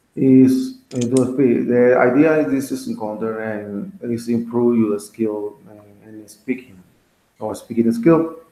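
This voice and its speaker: Delivered at a fairly slow pace in a Spanish accent, the voice has a dark, mellow tone, ordinary pitch variation, and big swings in loudness. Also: man, medium pitch for a man. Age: 20s. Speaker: English teacher. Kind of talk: online class. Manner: halting.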